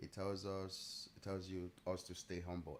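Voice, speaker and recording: Very deep, low-pitched male voice. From Nigeria. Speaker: day trader streamer. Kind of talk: live trading stream chat.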